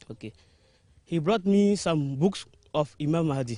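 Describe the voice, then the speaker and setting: Against a quiet background, a man with a high pitch and ordinary pitch variation talks at a fairly slow pace, the sound dry and close with no echo. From Burkina Faso. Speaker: convert giving testimony. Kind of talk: testimony. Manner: halting, repeating words.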